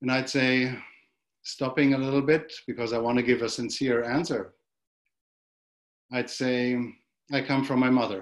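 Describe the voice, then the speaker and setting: Speaking in a German accent at a moderate pace, a man uses a medium pitch and monotone, flat intonation, with long, frequent pauses. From Germany. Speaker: monk, dharma teacher. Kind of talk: dharma talk. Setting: video call.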